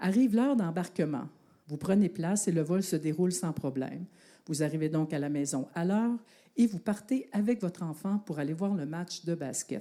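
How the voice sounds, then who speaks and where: A woman with a Quebec accent, fairly low-pitched with a dark, mellow tone and lively intonation, at a moderate pace on a very clean recording with a silent background. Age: 60s. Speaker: university professor and sport researcher. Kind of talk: public talk at an evening science outreach event; guided visualization story told to audience.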